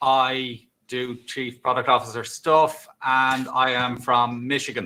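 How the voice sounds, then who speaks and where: In an Irish accent, a man speaks very slowly at a medium pitch with monotone, flat intonation. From Ireland. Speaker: tech executive. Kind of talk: casual chat.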